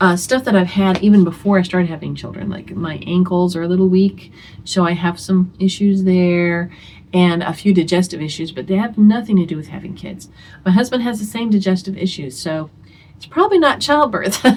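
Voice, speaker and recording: A woman talks fairly quickly in a somewhat breathy voice. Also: medium pitch for a woman, ordinary pitch variation. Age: 60s. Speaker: homeschooling mother and video host. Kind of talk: casual talk to camera. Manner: conversational, with many fillers.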